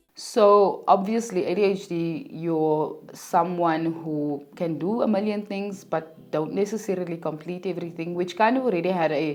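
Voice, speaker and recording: A woman's fairly low voice at a moderate pace, with ordinary pitch variation, hardly any pauses, and audible room echo. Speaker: podcast host. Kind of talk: personal monologue. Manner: hesitant, many fillers.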